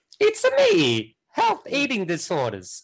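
A put-on character voice in an Italian accent at a fairly slow pace. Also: man. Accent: exaggerated Italian. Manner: cheerful, playful.

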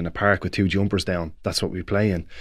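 On a very clean recording with a silent background, a man with a Dublin accent speaks in a very deep, low pitch. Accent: Dublin Irish. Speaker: Gaelic football player and pundit. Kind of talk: casual chat.

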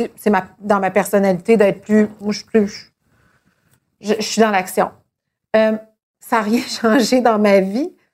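A woman's fairly high voice at a very slow pace, with fairly even intonation and long, frequent pauses. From Quebec. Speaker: TV host. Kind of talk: casual chat. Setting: dinner at a home.

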